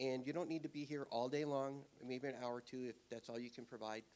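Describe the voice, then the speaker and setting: Speaking at a fairly quick pace, a man uses a medium pitch and keeps his intonation fairly even. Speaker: church volunteer. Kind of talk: church announcements. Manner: loud.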